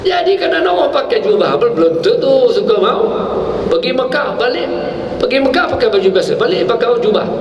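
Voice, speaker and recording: Over light background noise and audible room echo, a man talks at a fairly quick pace in an extremely high pitch that swings very widely. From Malaysia, Johor. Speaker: religious teacher. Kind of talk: sermon. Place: hall. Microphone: podium.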